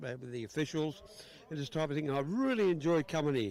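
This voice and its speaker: Someone rattles off words at a very fast pace in an Australian accent. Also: man. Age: 60s. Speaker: drag racing spectator. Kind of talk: casual interview. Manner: halting.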